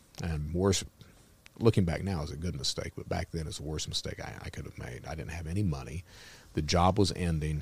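A man's very deep, low, somewhat breathy voice with a Kentucky accent, fairly quick and fairly even in intonation, on a very clean recording with a silent background. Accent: Southern US (Kentucky). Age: 50s. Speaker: former cyber criminal turned speaker. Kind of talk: casual interview.

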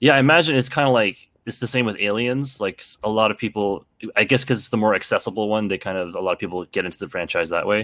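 With a Canadian accent, the speaker goes at a very fast pace with ordinary pitch variation, in a dry, close sound with no echo and a very clean recording over a silent background. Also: man, fairly low pitch for a man. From Canada. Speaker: stuntman and martial artist. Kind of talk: casual chat.

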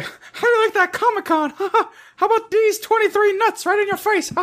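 Putting on a squeaky character voice at an extremely high pitch, a man talks at a moderate pace.

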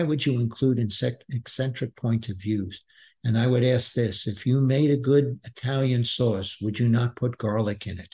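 A man speaks at a moderate pace in a dark, mellow, somewhat breathy tone at medium pitch. His intonation is fairly even, and the background is quiet. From Brooklyn, New York. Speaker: business author and former executive. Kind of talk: podcast interview.

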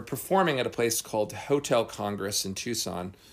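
A normal speaking voice from a man with an American accent, fairly quick in pace and lively in intonation. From New Jersey. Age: 40s. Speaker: magician. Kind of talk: casual interview. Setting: seance room.

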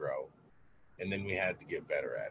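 A man is speaking. His pace is fairly quick. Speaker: cannabis podcast host. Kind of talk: casual chat. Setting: video call.

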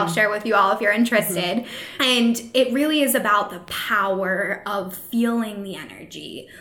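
A woman's medium-pitched voice shows ordinary pitch variation while noticeable background noise runs underneath. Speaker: podcast host and social media manager. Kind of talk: casual interview chat.

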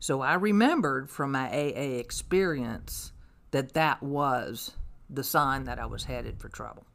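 This woman, in a Kentucky accent, speaks at a fairly slow pace. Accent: Kentucky Southern. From Louisville, Kentucky. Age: 60s. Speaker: recovering alcoholic. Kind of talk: testimony. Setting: in-person in a backyard shop.

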